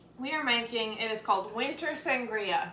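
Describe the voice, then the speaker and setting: A woman speaks with audible room echo. Light background noise can be heard. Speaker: vlog co-host. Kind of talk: casual vlog chat. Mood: cheerful, laughing. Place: kitchen. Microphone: camera far.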